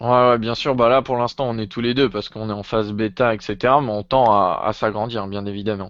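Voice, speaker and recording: Fairly even intonation marks a man's fairly low voice at a fairly quick pace. It is a normal speaking voice. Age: 20s. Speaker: web developer. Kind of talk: casual chat.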